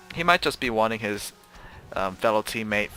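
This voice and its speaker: With music playing underneath, a man talks at a moderate pace in a fairly low pitch. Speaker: game commentator. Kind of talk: play-by-play game commentary. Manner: relaxed, many filler words.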